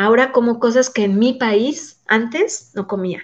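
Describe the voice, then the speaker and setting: At a very slow pace, a woman speaks with a fairly high pitch and ordinary pitch variation. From Mexico City. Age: 40s. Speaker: migrant mother. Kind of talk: interview testimony.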